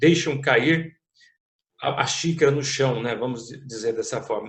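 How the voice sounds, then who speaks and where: The man speaks with lively intonation. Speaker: interviewer, channel host. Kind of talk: interview questions, casual talk.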